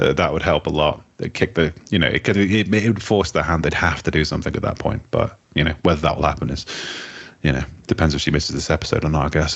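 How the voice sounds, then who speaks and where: Over noticeable background noise, a man with a very deep, low voice talks very fast with ordinary pitch variation. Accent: English. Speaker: podcast co-host. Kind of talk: casual chat.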